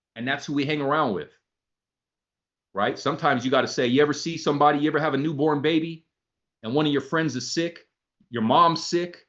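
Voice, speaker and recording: Against a quiet background, the animated speech runs at a very fast pace broken by long, frequent pauses. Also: man, fairly high pitch for a man. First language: not English. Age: 40s. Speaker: motivational speaker. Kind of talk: motivational talk.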